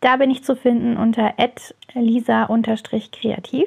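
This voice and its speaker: A woman speaks in a high pitch. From Germany, near Heidelberg. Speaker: podcast host, photographer and lettering coach. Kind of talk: casual solo podcast monologue. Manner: animated, enthusiastic.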